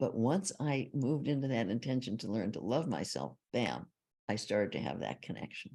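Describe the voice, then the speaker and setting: A woman speaks with a very deep, low pitch, a dark, mellow tone and vocal fry. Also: lively intonation, moderate pace. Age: 80s+. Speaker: psychologist and author. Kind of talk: interview.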